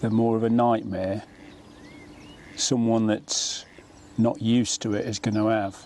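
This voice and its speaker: With an English accent, a man speaks in a medium pitch at a fairly slow pace, using a monotone, flat intonation and long, frequent pauses. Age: 60s. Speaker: angler presenter. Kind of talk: casual chat while fishing.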